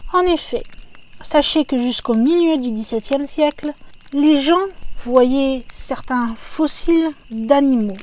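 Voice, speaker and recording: Speaking at a very slow pace, a woman with a high pitch uses ordinary pitch variation over noticeable background noise. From France, not Alsace. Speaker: YouTube narrator of paranormal stories. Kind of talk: narration of a legend. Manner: casual, conversational.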